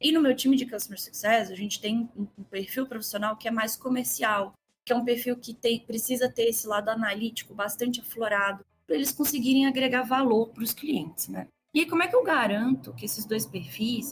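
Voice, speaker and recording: A woman with a Minas Gerais accent speaks at a fairly quick pace and fairly high pitch. Her intonation is lively, with music in the background. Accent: Minas Gerais (mineiro). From Brazil, Minas Gerais (Belo Horizonte). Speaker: customer success executive and mentor. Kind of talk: podcast interview.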